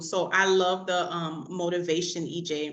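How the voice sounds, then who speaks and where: Here a woman speaks in an animated tone. There is audible room echo. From Miami, Florida. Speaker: assisted living business coach and nurse. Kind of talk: interview.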